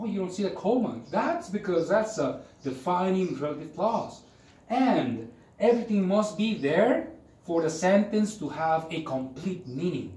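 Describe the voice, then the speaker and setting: With audible room echo, a man speaks at a high pitch and a fairly slow pace. His intonation is lively. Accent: Spanish. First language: Spanish. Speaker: English teacher. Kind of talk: lecture. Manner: conversational.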